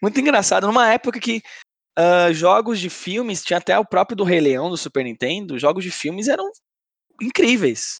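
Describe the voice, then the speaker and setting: The sound is dry and close, with no echo. A man speaks at a high pitch, his voice making very wide pitch swings. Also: moderate pace. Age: 20s. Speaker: podcast co-host. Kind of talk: casual chat.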